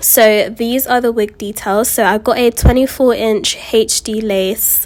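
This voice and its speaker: A woman's fairly slow, fairly even-toned speech over noticeable background noise. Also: fairly high pitch for a woman. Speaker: beauty vlogger. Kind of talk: tutorial. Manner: casual, chatty.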